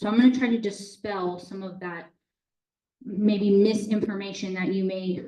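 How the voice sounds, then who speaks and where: With a slight Boston accent, a woman of medium pitch speaks at a moderate pace in a dark, mellow, somewhat breathy voice with ordinary pitch variation. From Boston area, US Northeast. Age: 30s. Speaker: water utility manager. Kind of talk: public talk with slides. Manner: casual, conversational.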